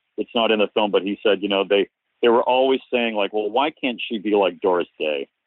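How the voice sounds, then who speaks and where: A man with an unremarkable speaking voice talks at a fairly low pitch and a moderate pace, with fairly even intonation. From US Northeast, Cape Cod, Massachusetts. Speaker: documentary filmmaker. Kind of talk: interview.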